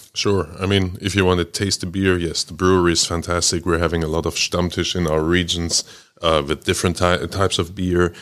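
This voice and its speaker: In a German accent, a man speaks at a very deep, low pitch and a fairly quick pace in a flat monotone, on a very clean recording with a silent background. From Germany. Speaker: trade chamber CEO. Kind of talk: interview. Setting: studio.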